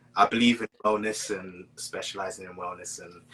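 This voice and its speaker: Male speech, moderately paced, over noticeable background noise. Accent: British. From Britain. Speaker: spiritual counselor and poet. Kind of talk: casual interview chat. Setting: online live stream.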